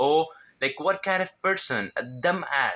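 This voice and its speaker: In a bright, sharp tone, a man with a Levantine Arabic accent talks at a fairly slow pace. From Syria. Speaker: self-improvement vlogger. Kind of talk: casual advice vlog. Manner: halting, with fillers and self-corrections.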